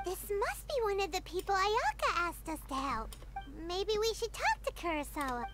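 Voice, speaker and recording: In a put-on character voice with an extremely high pitch, the speaker goes at a moderate pace over loud background noise. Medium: video game.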